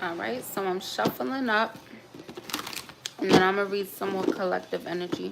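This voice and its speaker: With an American accent and lively intonation, a woman of medium pitch speaks with long, frequent pauses over noticeable background noise. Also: moderate pace. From New York, schooled in Baltimore. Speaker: tarot reader. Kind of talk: live tarot reading stream. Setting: livestream. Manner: casual, conversational.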